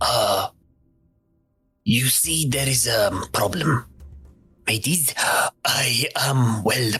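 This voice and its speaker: In a put-on character voice, the speaker goes at a very slow pace with very even loudness and long, frequent pauses. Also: man, medium pitch for a man. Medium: actual play. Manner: hesitant, stammering, calls people mateys.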